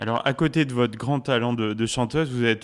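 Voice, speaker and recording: The background is silent and the recording very clean. In it, a man speaks at a fairly quick pace. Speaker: radio host. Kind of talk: radio interview questions.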